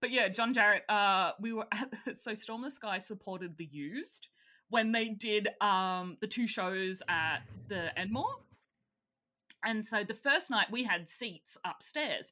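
Here a woman speaks at medium pitch with an Australian accent. Her tone is bright and sharp. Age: 30s. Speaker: podcast co-host. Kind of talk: casual chat.

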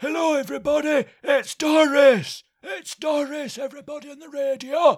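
Shouting in a put-on character voice, a man with an extremely high pitch talks at a moderate pace with hardly any pauses.

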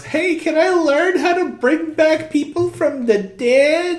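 A man puts on a character voice, pitched extremely high and whiny. He speaks at a fairly slow pace. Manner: annoying, whiny.

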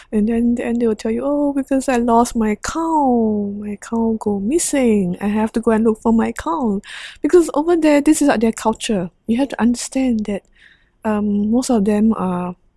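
A woman's fairly high voice in a dark, mellow tone, at a moderate pace with ordinary pitch variation, dry and close with no echo. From Singapore. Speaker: nurse and humanitarian aid worker. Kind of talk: interview conversation.

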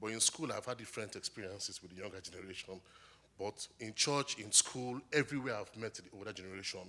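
Talking at a very fast pace with a Nigerian accent, a man uses a fairly low pitch, ordinary pitch variation and big swings in loudness. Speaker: graduate student. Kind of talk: testimony interview. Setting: church stage.

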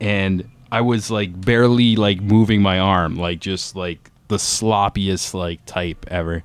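A man with a Canadian accent at a fairly slow pace, fairly even intonation and hardly any pauses. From Ontario, Canada. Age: 30s. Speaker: podcast host. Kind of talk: personal testimony.

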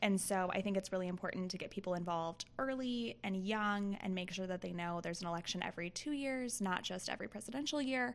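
With ordinary pitch variation and a medium pitch, a woman talks at a fairly quick pace in a normal speaking voice. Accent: American. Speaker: podcast co-host.

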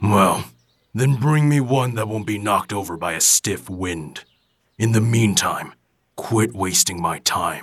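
At a fairly slow pace, a man speaks at a fairly low pitch with ordinary pitch variation. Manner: gruff, blunt, mocking.

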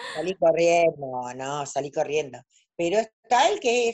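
With very wide pitch swings, a woman talks fairly slowly. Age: 60s. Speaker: tarot reader. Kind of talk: casual interview. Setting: video call. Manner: halting.

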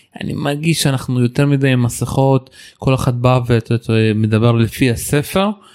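Against noticeable background noise, a man speaks fairly slowly at medium pitch with ordinary pitch variation. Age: 30s. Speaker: podcast host. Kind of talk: casual chat.

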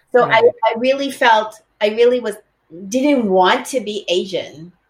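With a General American accent, this ordinary speaking voice moves at a moderate pace with lively intonation. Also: woman. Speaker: kathak dancer and teacher. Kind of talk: interview.

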